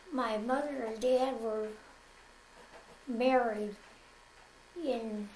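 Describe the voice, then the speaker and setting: With an American accent, a woman speaks in a high pitch at a very slow pace. Her intonation is fairly even, and there is noticeable background noise. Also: long, frequent pauses. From American Midwest. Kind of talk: interview answer. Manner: slow, hesitant.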